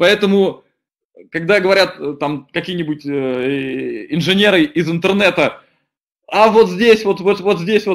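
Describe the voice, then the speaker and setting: Against a quiet background, a man speaks at a high pitch with ordinary variation. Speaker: deputy director of an engineering company; webinar presenter. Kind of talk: webinar presentation. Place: home room. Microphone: webcam.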